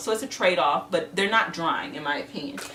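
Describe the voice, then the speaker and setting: A woman talks at a fairly quick pace with lively intonation and a medium pitch, over noticeable background noise. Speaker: beauty vlogger. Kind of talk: casual product review. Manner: fast.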